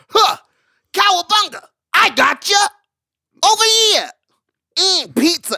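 A put-on character voice sits at an extremely high pitch. Long, frequent pauses break up the speech. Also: fairly slow pace. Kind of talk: surfer slang. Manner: laid-back, playful, goofy.

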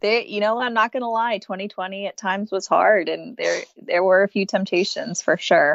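Over a quiet background with a dry, close sound with no echo, a woman with an American accent speaks in a plain, everyday voice at a medium pitch and moderate pace, with ordinary pitch variation and hardly any pauses. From Texas. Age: 30s. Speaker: guest sharing recovery story. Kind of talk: interview, personal story.

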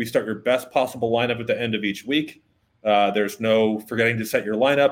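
An ordinary speaking voice from a man, medium in pitch, fairly even in intonation, at a moderate pace. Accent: American. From Boston. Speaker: sponsor representative filling in as co-host. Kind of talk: casual sports chat; sales pitch.

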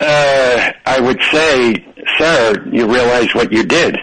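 A man's slow delivery at medium pitch, with a fairly bright tone, a slightly husky edge and ordinary pitch variation

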